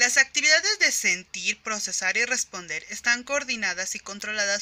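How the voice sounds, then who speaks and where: A woman talks at a moderate pace with lively intonation. Noticeable background noise can be heard behind her. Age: 20s. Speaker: psychology graduate. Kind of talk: educational presentation. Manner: formal.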